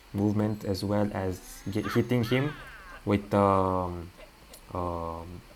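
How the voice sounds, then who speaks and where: Over noticeable background noise, a man speaks very slowly in a fairly low voice, his intonation fairly even and his pauses long and frequent. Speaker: gaming video creator. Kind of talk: game walkthrough commentary. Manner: halting, many fillers.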